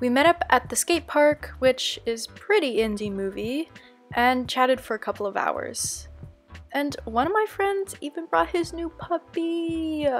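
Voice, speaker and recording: With music playing behind her, a woman speaks at a fairly slow pace in a high voice that swings very widely in pitch. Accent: American. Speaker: vlogger, artist. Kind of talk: vlog voiceover.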